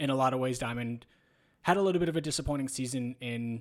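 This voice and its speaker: Using an ordinary speaking voice, a man talks at a medium pitch and a fairly quick pace. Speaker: basketball podcast co-host. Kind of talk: casual sports discussion.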